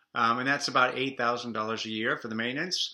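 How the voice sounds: In a room with audible echo, a man talks fast with a bright, sharp tone and fairly even intonation. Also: medium pitch for a man.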